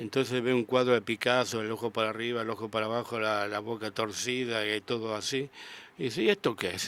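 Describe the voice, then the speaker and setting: With an unremarkable speaking voice, a man of medium pitch talks at a fairly quick pace with fairly even intonation. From Argentina, Rosario. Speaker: sculptor. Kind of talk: radio interview. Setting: radio studio.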